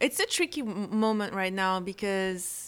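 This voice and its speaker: In a French accent, a woman speaks at a medium pitch and moderate pace with fairly even intonation, on a very clean recording with a silent background. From France (Corsica). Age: 40s. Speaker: photographer and author. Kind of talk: casual interview.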